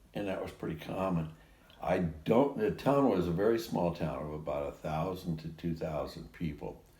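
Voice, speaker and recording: A man with a very deep, low pitch and a dark, mellow tone talks at a fairly slow pace with ordinary pitch variation. He takes long, frequent pauses, and audible room echo surrounds his voice. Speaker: interviewee recounting life story. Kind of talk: casual chat. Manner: halting.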